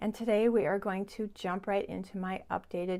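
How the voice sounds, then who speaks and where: A woman talks at a moderate speed. Her voice has a dark, mellow tone. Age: 60s. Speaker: beauty vlogger. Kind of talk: tutorial. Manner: chatty.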